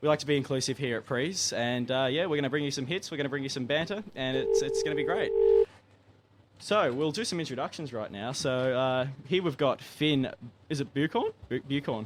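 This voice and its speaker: An Australian accent from a man with a fairly high pitch, ordinary pitch variation and a fairly quick pace, over noticeable background noise. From Tasmania, Australia (Launceston). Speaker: student radio host. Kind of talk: casual chat. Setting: studio. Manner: animated.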